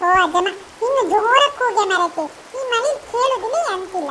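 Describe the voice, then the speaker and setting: Using a cartoonish character voice, a woman speaks at a moderate pace in a squeaky, extremely high pitch over clear background noise. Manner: coaxing.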